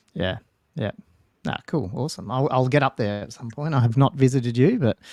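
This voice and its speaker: With an Australian accent, a man speaks at medium pitch and a fairly quick pace with ordinary pitch variation, in a dry, close sound with no echo on a very clean recording with a silent background. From Australia, Newcastle NSW. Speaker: podcast co-host, tabletop gamer. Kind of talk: casual chat.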